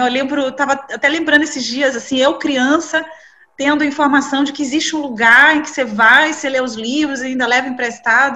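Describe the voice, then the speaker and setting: A woman speaks in a raised, projected voice at a moderate pace. Her pitch is high and her intonation fairly even. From Brazil, Salvador (Bahia). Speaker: journalist and library director. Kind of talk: interview. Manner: hesitant, many fillers.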